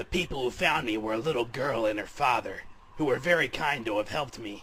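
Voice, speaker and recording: A man puts on a raspy character voice at medium pitch, speaking at a fairly quick pace in a serious tone against clear background noise. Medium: solo performance. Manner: melodramatic, self-serious.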